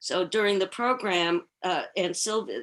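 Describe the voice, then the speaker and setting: A woman with an American accent speaks at a very slow pace. The background is quiet. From New York, Queens. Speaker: Holocaust family historian, speaker. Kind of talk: Q&A after presentation.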